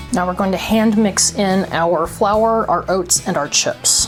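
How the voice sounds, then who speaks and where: With music in the background, a woman at a medium pitch speaks at a fairly slow pace with ordinary pitch variation and very even loudness. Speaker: home baker. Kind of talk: cooking tutorial.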